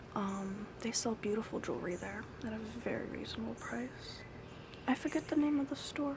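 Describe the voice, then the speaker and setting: A soft-spoken woman whispers at a moderate pace over noticeable background noise. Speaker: ASMR content creator. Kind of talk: ASMR show and tell. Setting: outdoors with birds and neighbors in background. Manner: soft-spoken, whispery.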